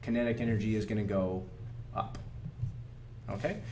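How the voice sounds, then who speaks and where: With an American accent, a man talks at a fairly quick pace amid audible room echo. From Oregon, US Pacific Northwest. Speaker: high school chemistry teacher. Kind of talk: lecture. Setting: classroom. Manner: fast; animated.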